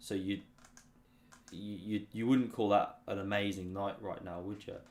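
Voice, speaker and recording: With a British accent, a man speaks at a moderate pace and fairly low pitch in a monotone, flat intonation, with big swings in loudness. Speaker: chess streamer. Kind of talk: live-stream chess commentary, casual. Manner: low-key, not hype; sleepy, boring-sounding.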